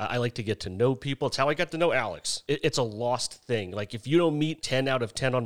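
A man speaks at a fairly quick pace with lively intonation and a medium pitch, recorded very cleanly against a silent background with a dry, close sound and no echo. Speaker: podcast guest on dating. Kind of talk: casual chat. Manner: funny, good speaker once warmed up.

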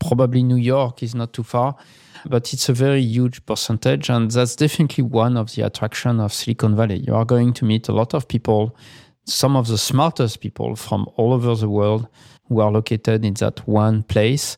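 Medium-pitched male voice with a dark, mellow tone, moderate pace and fairly even intonation, on a very clean recording with a silent background and a dry, close sound with no echo. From France, Paris. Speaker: podcast co-host, tech entrepreneur. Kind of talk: casual chat.

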